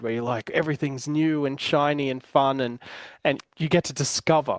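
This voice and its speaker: A man with an Australian accent speaks at a very fast pace and a fairly high pitch. His intonation is fairly even, and the sound is dry and close with no echo. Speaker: podcast host, business coach. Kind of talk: casual chat. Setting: home. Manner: hesitant, many fillers and repeated words.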